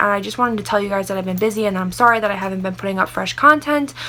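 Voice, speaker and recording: A woman talks at a medium pitch with a bright, sharp tone. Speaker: beauty vlogger. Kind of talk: casual chat. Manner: fast; animated.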